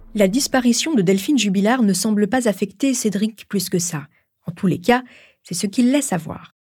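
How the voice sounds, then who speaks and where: At a moderate pace, a woman speaks in a serious tone with lively intonation, her medium-pitched voice dark, mellow and somewhat breathy. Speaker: podcast host. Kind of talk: true-crime narration. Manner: measured, serious storytelling tone.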